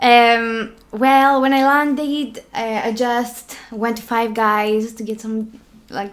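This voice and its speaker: Speaking at a very slow pace with a Greek accent, a woman uses a fairly high pitch and fairly even intonation. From Greece, Crete. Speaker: law student. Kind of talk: casual chat. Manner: hesitant.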